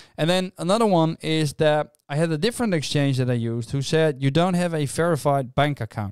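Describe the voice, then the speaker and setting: At a fairly quick pace and fairly high pitch, a man speaks in a dry, close sound with no echo on a very clean recording with a silent background. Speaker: crypto YouTuber. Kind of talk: explainer video. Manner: fast.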